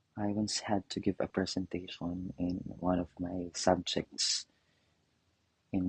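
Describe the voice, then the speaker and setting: Speaking very slowly with a non-native accent, the voice is somewhat breathy and flat in intonation, recorded dry and close with no echo. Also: man. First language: not English. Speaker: professor and adult English learner. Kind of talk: interview. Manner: hesitant, with fillers.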